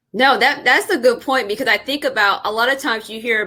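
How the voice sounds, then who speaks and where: Using a normal speaking voice, a woman with an American accent talks at a fairly quick pace with ordinary pitch variation. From Indianapolis, US Midwest. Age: 30s. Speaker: podcast host, educator. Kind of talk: interview podcast. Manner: casual, conversational.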